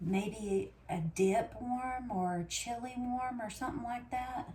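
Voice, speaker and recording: Very slowly, a woman speaks over noticeable background noise. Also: ordinary pitch variation. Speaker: homesteading vlogger. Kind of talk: casual vlog talk. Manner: talking low, quiet.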